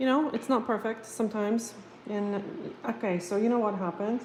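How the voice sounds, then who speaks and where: Female speech at a medium pitch and moderate pace, its pitch varying in an ordinary way. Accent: non-native. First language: not English. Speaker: nail technician. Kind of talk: live stream chat and tutorial. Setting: home live stream. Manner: casual, hesitant with fillers.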